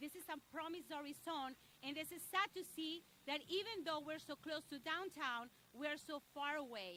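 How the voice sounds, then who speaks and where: A woman's high, raised, projected voice in a Spanish accent, with lively intonation and a moderate pace. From Mexico. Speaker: local business association leader. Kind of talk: press conference speech.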